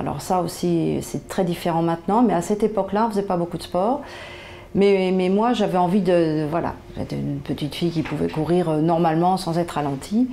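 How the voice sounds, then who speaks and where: Fairly low in pitch, a woman speaks at a moderate pace. Her pitch variation is ordinary. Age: 60s. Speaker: patient. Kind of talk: interview testimony. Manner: hesitant, many fillers.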